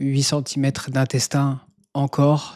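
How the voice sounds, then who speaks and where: A man's voice with a dark, mellow tone. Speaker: YouTuber sharing personal health journey. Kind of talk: personal vlog monologue. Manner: halting, many hesitations.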